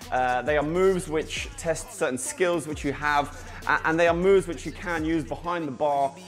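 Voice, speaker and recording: With faint music in the background, the speaker goes at a moderate pace with ordinary pitch variation. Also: man. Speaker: bartender instructor. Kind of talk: tutorial. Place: bar.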